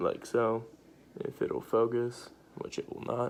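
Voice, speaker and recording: The voice is quiet and moves at a very slow pace. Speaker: vaping tutorial youtuber. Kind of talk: tutorial. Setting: at home at night. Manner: hesitant, many fillers; trying to speak quietly.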